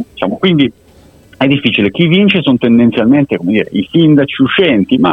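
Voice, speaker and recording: A man speaks at a fairly quick pace with very wide pitch swings. Noticeable background noise runs behind him. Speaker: polling expert. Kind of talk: interview.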